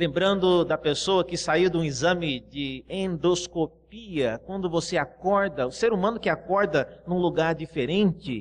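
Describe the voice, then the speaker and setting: Speaking at a fairly slow pace with hardly any pauses, a man uses a high pitch. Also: ordinary pitch variation. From Brazil, Cuiabá. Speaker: pastor. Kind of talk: sermon.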